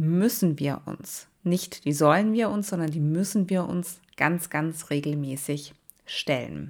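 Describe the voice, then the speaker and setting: A woman speaks at a very slow pace with lively intonation and a warm tone. The recording is very clean, with a silent background. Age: 30s. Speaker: podcast host and nursing leadership coach. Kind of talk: solo podcast monologue. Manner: warm, casual direct address.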